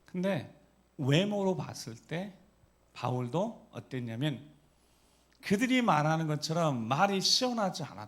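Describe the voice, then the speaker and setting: With audible room echo, a man in an animated tone and a high pitch swings widely in pitch at a fairly slow pace, leaving long, frequent pauses. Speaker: pastor. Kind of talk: sermon. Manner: animated, rhetorical questions to congregation.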